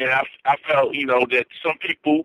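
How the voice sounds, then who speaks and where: Here is a man with an American accent in an ordinary speaking voice. He talks at a moderate pace and a fairly high pitch. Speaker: sports commentator, former Marine. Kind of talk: casual sports talk interview by phone. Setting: phone call.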